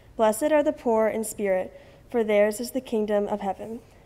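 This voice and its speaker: Ordinary pitch variation from a woman talking at a moderate pace. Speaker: student scripture reader. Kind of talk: scripture reading. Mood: calm, solemn. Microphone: podium.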